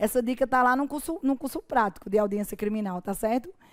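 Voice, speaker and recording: The speaker is a woman with a Paraíba accent. Her pitch sits fairly high. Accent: Paraíba (northeastern Brazilian). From Paraíba, Brazil. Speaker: judge and law teacher. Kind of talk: online course lecture. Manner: informal, conversational.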